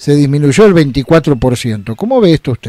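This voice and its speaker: Very wide pitch swings mark a man's dark, mellow voice, heard dry with no echo over a quiet background. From Argentina. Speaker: radio host. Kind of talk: radio interview. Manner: formal. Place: studio.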